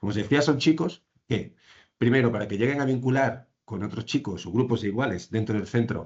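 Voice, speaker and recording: A man's fairly quick speech in an Andalusian accent. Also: medium pitch for a man, ordinary pitch variation. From Andalusia, Spain. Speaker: social care professional presenting a case. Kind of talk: professional presentation in online training session. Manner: fast; halting, many fillers and restarts.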